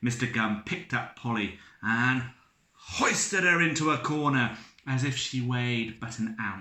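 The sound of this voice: The pitch shifts in an ordinary way as an unforced reading voice goes on.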